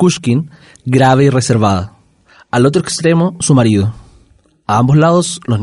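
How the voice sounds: The speaker reads with lively intonation in a natural reading voice.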